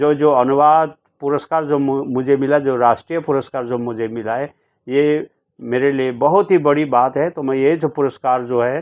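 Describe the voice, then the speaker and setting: A man at a fairly high pitch, with fairly even intonation and a moderate pace, against a quiet background. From India, Sikkim (Gangtok). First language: Nepali (speaking Hindi). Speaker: poet and translator. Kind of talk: interview. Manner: halting, with many fillers.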